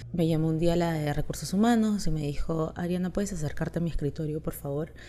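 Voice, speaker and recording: A woman's very deep, low voice with a dark, mellow tone, in a very clean recording with a silent background. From Chile. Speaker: content creator. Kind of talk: casual monologue.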